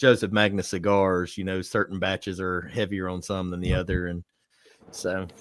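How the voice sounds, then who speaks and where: A man with a Southern accent speaks at a moderate pace. His pitch is very deep and low, and his intonation is monotone and flat. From US South, South Alabama (Atmore, near Mobile). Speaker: bourbon reviewer. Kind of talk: casual chat.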